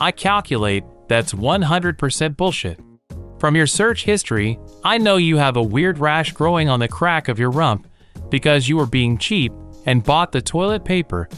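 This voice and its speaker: Over faint background music, a man uses a put-on character voice at a fairly high pitch and a moderate pace. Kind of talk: robotic comedy. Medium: audio drama.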